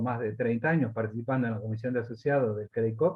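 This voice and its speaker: In a somewhat breathy voice, a man talks at a fairly quick pace. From Argentina, Santa Fe. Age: 70s. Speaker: cooperative leader. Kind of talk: interview. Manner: hesitant, frequent fillers.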